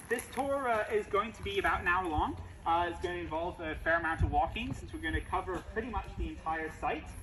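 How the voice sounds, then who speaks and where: A man with a slight British accent talks at a fairly quick pace against noticeable background noise. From UK. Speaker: heritage site tour guide. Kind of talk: guided tour. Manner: frequent filler hesitations.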